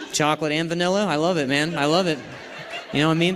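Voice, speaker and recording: Very fast speech over noticeable background noise. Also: man. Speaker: stand-up comedian. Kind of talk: stand-up crowd work. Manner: stutters.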